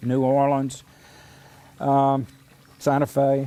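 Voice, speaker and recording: A man's dark, mellow tone with a Mississippi accent. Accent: Southern US (Mississippi). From US South, Mississippi. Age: 80s+. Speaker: artist. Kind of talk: documentary interview. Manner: halting.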